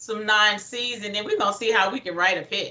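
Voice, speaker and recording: Noticeable background noise sits behind a woman talking at a fairly quick pace in a fairly high pitch. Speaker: motivational speaker. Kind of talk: workshop presentation. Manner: loud; energetic.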